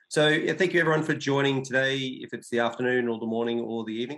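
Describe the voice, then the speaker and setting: Against a quiet background, a man with an Australian accent speaks with ordinary pitch variation. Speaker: data analytics consultant. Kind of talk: webinar presentation. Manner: halting, many fillers.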